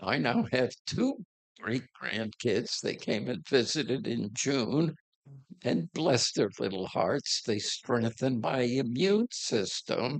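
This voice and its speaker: Speaking very slowly, a man uses a medium pitch with vocal fry and lively intonation. The sound is dry and close, with no echo. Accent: American. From New York State, Hudson Valley. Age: 80s+. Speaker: church member sharing life story. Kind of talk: personal life story talk. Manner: halting, many fillers.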